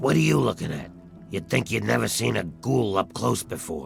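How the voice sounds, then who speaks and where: Raspy put-on character voice of a man, very deep and low, with very wide pitch swings at a moderate pace, over clear music in the background. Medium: video game. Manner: gruff, sardonic.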